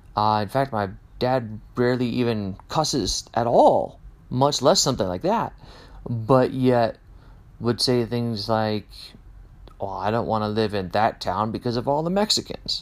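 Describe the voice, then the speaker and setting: On a very clean recording with a silent background, a man with a Midwestern US accent speaks at a fairly slow pace and medium pitch, with ordinary pitch variation. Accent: General American, Midwestern. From Kansas, US Midwest. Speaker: podcast host. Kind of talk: casual monologue. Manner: unscripted with many fillers.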